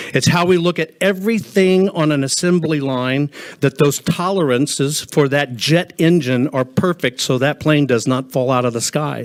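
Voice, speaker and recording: A man talks at a moderate pace in a fairly high pitch. His pitch varies in an ordinary way, and he hardly pauses. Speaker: inventor and pattern recognition expert testifying. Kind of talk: legislative hearing testimony. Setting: hearing room. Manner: loud; animated.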